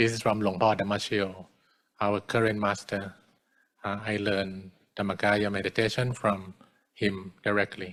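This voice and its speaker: Using long, frequent pauses, a man with a Thai accent speaks in a monotone, flat intonation at a fairly low pitch. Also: moderate pace. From Thailand. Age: 40s. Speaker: Buddhist monk. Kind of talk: dharma talk. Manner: halting.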